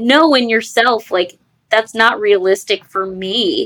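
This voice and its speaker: A woman with a normal speaking voice, fairly high in pitch, with lively intonation, a fairly slow pace and an American accent. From New York. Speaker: podcast host and ADHD coach. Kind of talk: casual interview chat.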